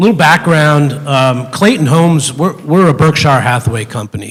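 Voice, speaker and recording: At a moderate pace and with ordinary pitch variation, a man talks as noticeable background noise carries on. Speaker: housing company executive. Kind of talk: public hearing presentation. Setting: public meeting. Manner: halting, many fillers.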